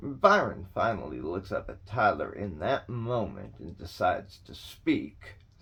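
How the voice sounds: The speaker uses a natural reading voice.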